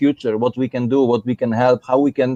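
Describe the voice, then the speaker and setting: A man in a Polish accent speaks at a fairly quick pace with a medium pitch and a dark, mellow tone, the sound dry and close with no echo. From Poland. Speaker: miniature painter, competition winner. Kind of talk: live stream chat. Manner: halting.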